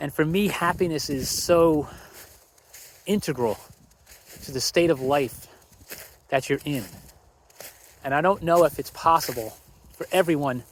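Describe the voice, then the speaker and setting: Pausing long and often, a man speaks at a moderate pace with ordinary pitch variation. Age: 60s. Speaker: vlogger. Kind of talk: casual monologue. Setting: outdoors. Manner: walking while talking.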